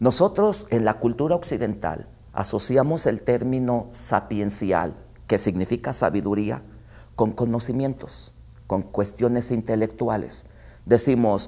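A man's dark, mellow voice carries vocal fry and ordinary pitch variation as he talks at a fairly slow pace. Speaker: guest theology teacher. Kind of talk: interview answer. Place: studio.

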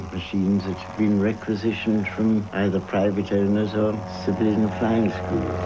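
Over noticeable background noise, a man with a very deep, low voice speaks at a moderate pace. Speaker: war veteran. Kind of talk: interview answer.

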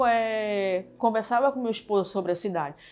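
Faint music sits in the background while a woman speaks with a northern Brazilian accent. She goes at a fairly slow pace with ordinary pitch variation. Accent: northern Brazilian (Pará) Portuguese. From Pará, northern Brazil. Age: 40s. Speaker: shop owner. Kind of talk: interview answer. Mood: warm, reflective. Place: shop. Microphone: lapel.

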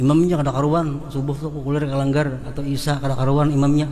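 A man with a South Kalimantan accent talks at a very fast pace and a fairly high pitch. Audible room echo and noticeable background noise fill the recording. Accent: Banjar-accented Indonesian. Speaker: religious teacher. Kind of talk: religious lecture.

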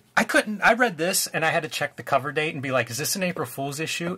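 This man talks at a very fast pace with lively intonation, hardly pausing at all, and his pitch sits fairly high. Noticeable background noise runs behind him. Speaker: comics artist and YouTube co-host. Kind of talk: casual chat about comics.

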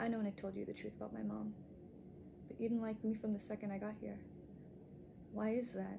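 Noticeable background noise runs under a woman speaking fairly quickly. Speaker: actor performing a film monologue. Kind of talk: dramatic monologue, self-tape audition style. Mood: confrontational yet composed, emotional. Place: home room.

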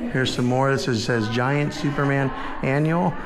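A man talks with ordinary pitch variation. Background noise is noticeable. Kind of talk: casual vlog chat. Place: hall.

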